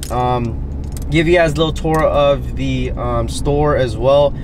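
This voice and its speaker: Noticeable background noise sits behind a man speaking at a moderate pace in a dry sound with no echo. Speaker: sneaker vlogger. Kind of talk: casual vlog chat. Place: car. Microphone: camera far.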